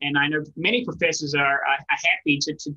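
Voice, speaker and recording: A man speaks with ordinary pitch variation over a quiet background. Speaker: presenter. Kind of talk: presentation talk. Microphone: webcam.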